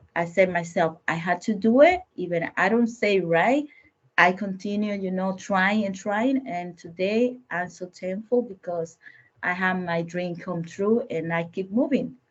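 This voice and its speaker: A woman speaks in a Spanish accent at a medium pitch, somewhat breathy. Her pace is fairly slow and her pitch varies in an ordinary way. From Dominican Republic. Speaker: business owner. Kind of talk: panel discussion.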